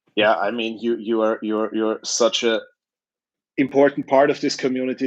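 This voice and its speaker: Over a quiet background, a man with an Austrian accent speaks at a medium pitch and moderate pace in a monotone, flat intonation. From Lower Austria. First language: German. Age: 60s. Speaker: youtuber. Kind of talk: interview.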